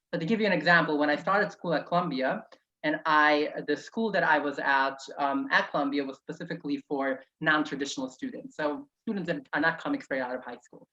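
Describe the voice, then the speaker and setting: A woman speaks with a very deep, low pitch and a bright, sharp tone. She moves at a fairly quick pace with ordinary pitch variation. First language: Yiddish. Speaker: author and activist. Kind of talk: interview. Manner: conversational, with fillers and restarts.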